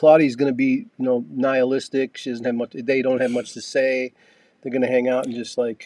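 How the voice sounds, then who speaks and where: The recording is dry and close with no echo. A man speaks in a dark, mellow tone with monotone, flat intonation. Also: medium pitch for a man, fairly quick pace. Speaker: podcast host and author. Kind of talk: casual chat. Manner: talkative, fills silence.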